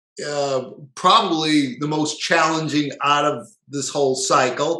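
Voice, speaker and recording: A man's voice with a bright, sharp tone carries audible room echo. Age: 50s. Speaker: natural health practitioner. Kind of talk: lecture. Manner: casual, filler-heavy.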